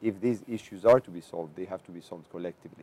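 Speaking very fast with lively intonation, a man with a Greek accent has a dark, mellow tone in a dry, close sound with no echo. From Greece, island of Andros. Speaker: education officer at an international organization. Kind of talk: interview.

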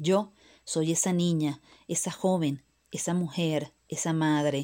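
A woman's fairly low voice in a Venezuelan accent, dark and mellow in tone, on a very clean recording with a silent background. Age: 30s. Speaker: migrant sharing her story. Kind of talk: personal testimony, scripted narration.

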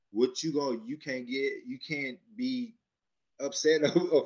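A normal speaking voice from a man, fairly high-pitched, at a moderate pace and with lively intonation. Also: big swings in loudness. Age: 30s. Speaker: podcast co-host. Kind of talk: casual chat.

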